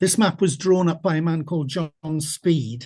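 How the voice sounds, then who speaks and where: A man's high voice in a south-west Welsh accent against a quiet background. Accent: Welsh English (south-west Wales). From Wales. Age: 80s+. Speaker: retired teacher and local historian. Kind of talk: lecture. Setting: video call.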